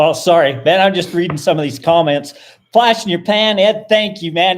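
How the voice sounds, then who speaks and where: A man speaks loudly at a fairly quick pace, his high pitch moving with ordinary variation. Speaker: live stream host. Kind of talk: casual chat. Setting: live stream.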